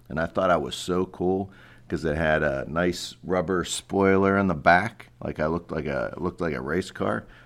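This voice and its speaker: With an American accent, a man speaks in a very deep, low pitch at a moderate pace. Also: ordinary pitch variation. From Pittsburgh, Pennsylvania. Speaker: school principal. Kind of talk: interview.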